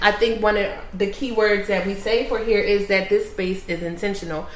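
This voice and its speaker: A woman with an American accent is heard amid noticeable background noise and audible room echo. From Philadelphia and Burlington County, New Jersey. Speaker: business partner and entrepreneur. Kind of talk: casual interview. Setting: in person at the business.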